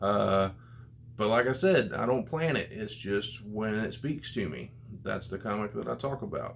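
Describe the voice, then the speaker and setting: A man's plain, everyday voice at a fairly slow pace, with ordinary pitch variation. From United States. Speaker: comic book YouTuber. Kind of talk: casual vlog review.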